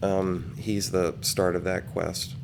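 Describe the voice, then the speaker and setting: A soft-spoken man at a fairly low pitch. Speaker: gaming video creator. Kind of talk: game tour commentary. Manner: halting.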